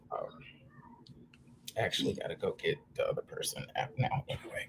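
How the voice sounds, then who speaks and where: A man puts on a raspy character voice at an extremely high pitch. He talks at a fairly quick pace over clear background noise. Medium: actual play. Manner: hesitant, stammering.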